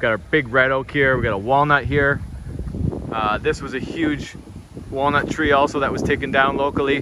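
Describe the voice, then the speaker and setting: Noticeable background noise accompanies a man speaking at a moderate pace. His intonation is fairly even, and the sound is dry with no echo. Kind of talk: casual vlog chat. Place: open country. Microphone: phone near.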